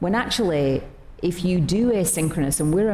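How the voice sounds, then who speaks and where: A woman speaks at a moderate pace with a fairly low pitch. Noticeable background noise and audible room echo surround her. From not Australia. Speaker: company executive. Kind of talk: onstage interview.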